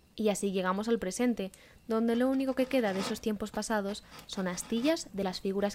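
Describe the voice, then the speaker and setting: A woman speaks at a fairly quick pace with a medium pitch and ordinary pitch variation. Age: 20s. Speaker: podcast host, journalism student. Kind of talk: scripted narration. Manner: animated.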